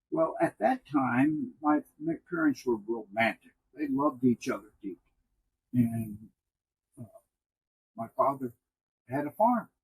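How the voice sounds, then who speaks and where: A man with an American accent speaks at a fairly high pitch, somewhat breathy, with lively intonation in a dry, close sound with no echo. His pace is fairly slow, with long, frequent pauses. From northern New York, US. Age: 80s+. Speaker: retired newspaper executive and early childhood advocate. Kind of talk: interview.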